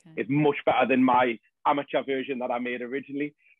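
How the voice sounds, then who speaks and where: A man with a North East England accent speaks at a medium pitch. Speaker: support group founder. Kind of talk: podcast interview answer.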